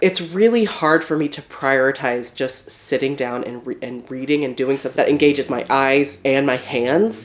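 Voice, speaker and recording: Noticeable background noise beneath speech of moderate pace and ordinary pitch variation. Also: woman. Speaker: book reviewer, aspiring fantasy author. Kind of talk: casual talk to camera.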